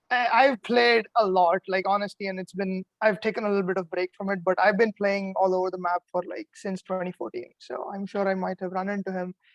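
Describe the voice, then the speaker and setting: This man talks at a fairly quick pace with hardly any pauses, his high pitch and fairly even intonation caught in a dry, close sound with no echo. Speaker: eliminated reality game contestant. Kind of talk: casual chat. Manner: relaxed, laid back.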